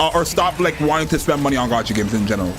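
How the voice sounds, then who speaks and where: Lively intonation over music in the background. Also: man. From Canada. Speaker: gaming streamer. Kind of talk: casual chat. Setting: livestream. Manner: animated.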